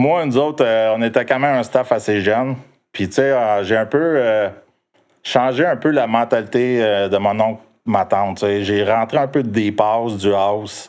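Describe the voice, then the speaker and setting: Someone speaks at a fairly slow pace with ordinary pitch variation against a quiet background. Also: man, medium pitch for a man. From Quebec, South Shore of Montreal. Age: 50s. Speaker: club DJ. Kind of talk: casual interview chat. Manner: animated.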